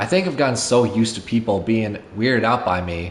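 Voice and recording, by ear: Someone reads a text out in a natural voice.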